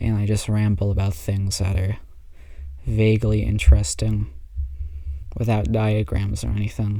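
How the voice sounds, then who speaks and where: A man talks softly at a moderate pace. His speech has long, frequent pauses. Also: fairly low pitch for a man, ordinary pitch variation. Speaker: amateur pianist vlogger. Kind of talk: casual monologue. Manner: soft-spoken; halting.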